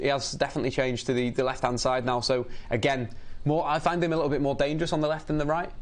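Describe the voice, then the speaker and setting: There is audible room echo as a man talks at a very fast pace with a fairly high pitch. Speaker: football commentator streamer. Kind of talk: live match watchalong commentary. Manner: animated.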